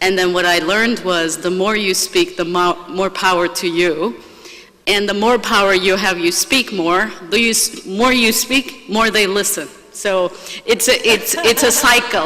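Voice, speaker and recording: Over noticeable background noise, a woman talks at a fairly slow pace in a medium pitch, with ordinary pitch variation and very even loudness. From Turkey. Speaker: business executive. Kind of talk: panel discussion.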